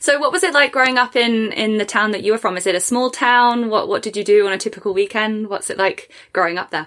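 A woman with an English accent speaks at a very fast pace. Her pitch is fairly high, with ordinary pitch variation. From England. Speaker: podcast host. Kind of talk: casual interview chat.

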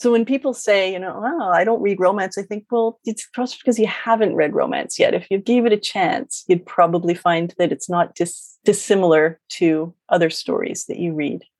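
A woman talks at a moderate pace with hardly any pauses and ordinary pitch variation. Hers is an unremarkable speaking voice. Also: medium pitch for a woman. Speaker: romance author and writing coach. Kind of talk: casual interview chat.

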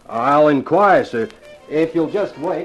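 Putting on a character voice with a slightly husky edge, a man speaks slowly at a fairly high pitch with lively intonation as faint music plays in the background.

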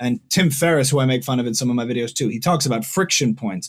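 Rushing at a very fast pace, a man with an American accent sounds somewhat breathy, with lively intonation, in a very clean recording over a silent background. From New Jersey. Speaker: musician and comedian. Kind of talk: casual interview.

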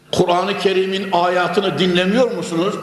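Speaking at a moderate pace with an animated tone, a man with a high voice is heard over noticeable background noise and audible room echo. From Turkey, Konya. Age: 70s. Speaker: preacher. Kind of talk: sermon. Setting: mosque with large congregation. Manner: emphatic, animated.

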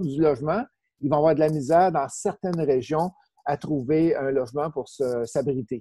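A man talks at a moderate pace with a fairly high pitch and ordinary pitch variation. His tone is dark and mellow. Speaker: real estate investor and trainer. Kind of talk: interview. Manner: casual, repetitive.

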